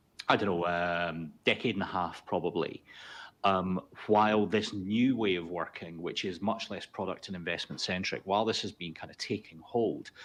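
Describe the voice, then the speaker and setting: Over a quiet background, a man with a Scottish accent speaks at a moderate pace in a very deep, low voice, his intonation fairly even and his loudness swinging widely. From Scotland. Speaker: consultancy founder and chief executive. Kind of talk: webinar discussion.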